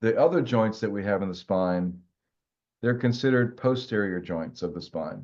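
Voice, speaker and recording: At a moderate pace, a fairly low-pitched man talks in an ordinary speaking voice with ordinary pitch variation. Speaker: college anatomy professor. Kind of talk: lecture. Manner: casual, conversational.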